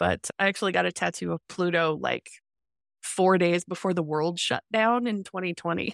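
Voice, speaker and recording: In a very clean recording with a silent background and a dry, close sound with no echo, a woman with a normal speaking voice and a fairly low pitch talks at a moderate pace with fairly even intonation. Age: 40s. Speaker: science fiction author. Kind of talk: interview.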